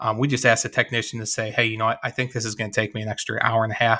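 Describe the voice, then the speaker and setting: This man talks at a very fast pace in a Chicago accent, his pitch medium. His tone is bright and sharp, with monotone, flat intonation. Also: very clean recording, silent background. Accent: Chicago-area Midwestern. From US Midwest, west of Chicago. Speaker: former shop owner and business coach. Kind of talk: interview. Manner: halting.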